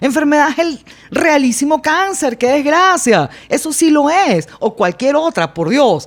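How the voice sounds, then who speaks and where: This woman's voice is high-pitched, with lively intonation and very even loudness at a fairly slow pace. Background noise is noticeable. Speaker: blogger and public speaking teacher. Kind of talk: casual podcast conversation.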